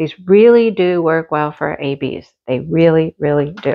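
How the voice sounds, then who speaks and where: A woman talks at a fairly slow pace, and the background stays quiet. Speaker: crafting hobby reviewer. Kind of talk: casual unboxing commentary. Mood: cheerful, chatty. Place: home room. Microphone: camera far.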